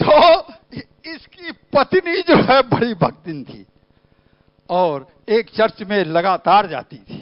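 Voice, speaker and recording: A high-pitched man speaks with very wide pitch swings, big swings in loudness, and long, frequent pauses. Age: 70s. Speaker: pastor. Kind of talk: sermon. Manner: animated.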